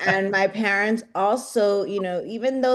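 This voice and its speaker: With an American accent, a woman talks in an ordinary speaking voice, with fairly even intonation and a fairly slow pace. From Rio Grande Valley, Texas. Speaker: nonprofit leader. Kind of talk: panel discussion.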